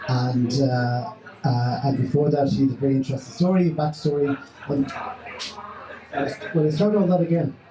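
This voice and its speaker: A fairly slow man's voice, fairly high in pitch, with very even loudness, ordinary pitch variation and noticeable background noise. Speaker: host interviewer. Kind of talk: live interview questions to an audience.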